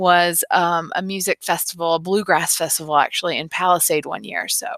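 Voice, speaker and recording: In an American accent, a bright, sharp tone moves at a moderate pace, with a dry, close sound and no echo. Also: woman. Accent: Southern, comes out at times. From US South, North Carolina. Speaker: high school biology teacher. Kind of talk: recorded class introduction. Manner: casual, many filler ums.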